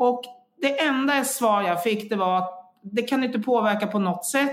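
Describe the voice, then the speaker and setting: Lively intonation rides along speech at a moderate pace. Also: woman. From Sweden. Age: 50s. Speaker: health coach and engineer. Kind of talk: interview. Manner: halting.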